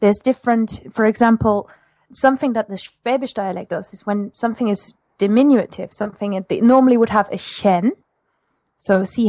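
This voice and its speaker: On a very clean recording with a silent background, a woman with a German accent speaks fairly quickly at a medium pitch in a dark, mellow tone. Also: dry, close sound with no echo. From Germany, Mosel region. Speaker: language teacher. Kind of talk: casual interview.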